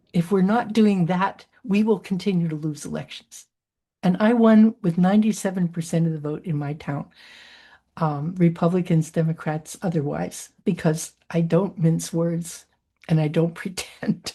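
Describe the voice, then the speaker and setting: In a quiet background, a woman speaks at a moderate pace with a somewhat breathy, dark, mellow tone, fairly low pitch and ordinary pitch variation. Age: 80s+. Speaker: keynote speaker. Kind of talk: Q&A answer at a virtual conference.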